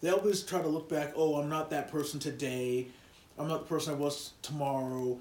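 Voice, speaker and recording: Speaking at a fairly quick pace, a man uses a plain, everyday voice that is fairly high in pitch, with fairly even intonation. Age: 30s. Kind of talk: casual chat.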